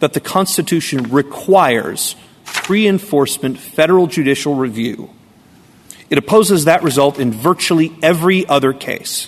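This man speaks at a moderate pace in a plain, everyday voice, fairly high in pitch, with lively intonation. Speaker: state lawyer arguing a case. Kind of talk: appellate oral argument. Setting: courtroom.

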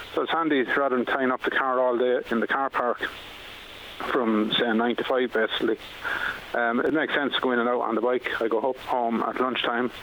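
A man's medium-pitched, monotone voice, fairly quick and very even in loudness, with flat intonation and noticeable background noise. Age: 50s. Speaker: firefighter and council admin officer. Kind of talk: radio interview.

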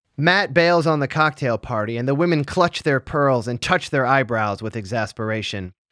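With an American accent, a man speaks at a moderate pace in a normal speaking voice, medium in pitch, with lively intonation, on a very clean recording with a silent background. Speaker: podcast host. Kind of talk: casual chat, recap podcast. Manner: casual, profane.

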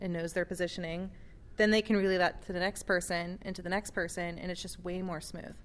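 A woman talks with an ordinary speaking voice at a medium pitch. Her pace is fairly quick and her intonation fairly even. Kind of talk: casual chat. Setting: conference between sessions.

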